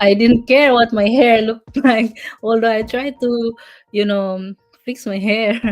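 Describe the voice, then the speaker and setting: At a fairly slow pace, with long, frequent pauses, a woman speaks in a fairly high pitch and monotone, flat intonation. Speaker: business coach. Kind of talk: live stream talk. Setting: live stream. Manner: halting.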